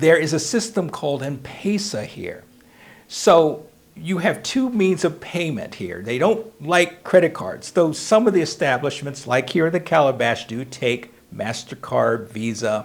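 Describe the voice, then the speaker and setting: Talking at a fairly slow pace in an American accent, a man uses a fairly high pitch with very wide pitch swings. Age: 60s. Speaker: preacher. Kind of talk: casual update monologue. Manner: hesitant, with fillers.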